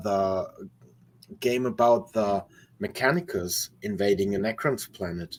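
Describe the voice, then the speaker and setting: A man with a German accent speaks at a fairly slow pace, his pitch swinging very widely, on a very clean recording with a silent background. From Germany. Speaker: metal musician. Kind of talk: casual chat. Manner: halting.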